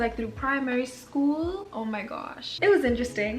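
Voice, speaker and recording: Against music in the background and audible room echo, a woman with a high pitch speaks at a fairly quick pace. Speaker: YouTuber. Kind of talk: casual vlog chat. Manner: quiet, not to wake others.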